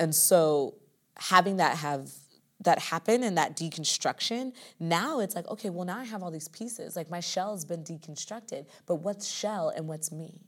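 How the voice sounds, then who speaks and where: Over a silent background in a very clean recording, a woman with a fairly low pitch speaks at a moderate pace, her pitch varying an ordinary amount while her loudness swings widely. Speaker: musical theater dancer and performer. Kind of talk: casual interview chat. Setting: recording room.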